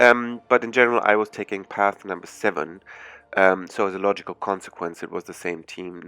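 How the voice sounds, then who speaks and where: A man with a German accent and a bright, sharp tone at a fairly quick pace, with fairly even intonation, big swings in loudness and a quiet background. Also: fairly low pitch for a man. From Germany. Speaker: gaming YouTuber. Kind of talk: gameplay commentary. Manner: hesitant, many fillers.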